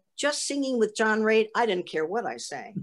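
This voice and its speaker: With an American accent, a woman speaks at a fairly high pitch, her voice swinging very widely up and down. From US Midwest, Milwaukee, Wisconsin. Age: 80s+. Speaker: Broadway performer. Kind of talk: interview.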